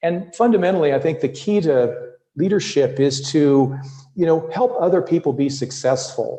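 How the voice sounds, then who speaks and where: A man talks at a moderate pace in a fairly high, somewhat breathy voice. His tone is dark and mellow, with ordinary pitch variation. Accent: North American. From US Midwest. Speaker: leadership coach. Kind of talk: podcast interview.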